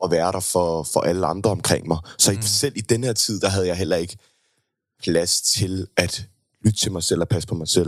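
Moderate-paced speech from a man, very deep and low in pitch, with ordinary pitch variation. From Denmark, Køge. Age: 20s. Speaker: singer. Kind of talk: interview.

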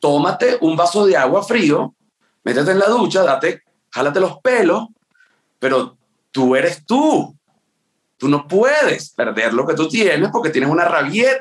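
A man's high voice with very wide pitch swings, very even loudness, a fairly slow pace and long, frequent pauses. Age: 30s. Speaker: comedian and dentist. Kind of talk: casual chat. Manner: animated.

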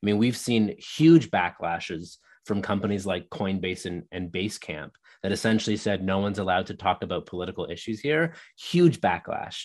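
Against a quiet background, a man talks at a fairly quick pace with lively intonation and a fairly low pitch. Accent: Canadian. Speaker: leadership speaker and author. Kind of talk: interview. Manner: articulate.

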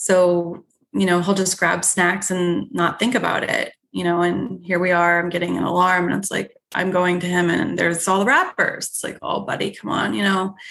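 Using an ordinary speaking voice, a woman talks at a moderate pace, fairly low in pitch with fairly even intonation. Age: 30s. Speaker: nurse practitioner. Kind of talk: interview.

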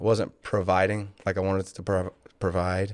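Against a quiet background, a man speaks with a Louisiana accent. His pace is moderate and his pitch fairly low. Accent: Southern US (Louisiana). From Louisiana, Lake Charles. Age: 40s. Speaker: business owner, former state policeman. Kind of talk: interview.

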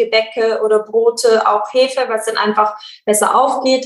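A woman's fairly high, monotone voice with flat intonation, at a fairly slow pace. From South Tyrol, northern Italy. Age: 20s. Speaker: medical student. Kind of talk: interview. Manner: hesitant, many filler sounds.

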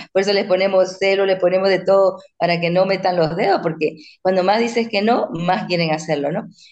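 A woman of medium pitch speaks at a fairly quick pace. Her intonation is monotone and flat. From Bolivia. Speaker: author and parenting coach. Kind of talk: interview.

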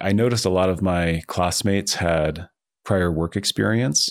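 A man with an American accent speaks at a very deep, low pitch and a moderate pace. His intonation is fairly even, on a very clean recording with a silent background. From New Jersey. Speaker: author and venture capitalist. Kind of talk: interview.

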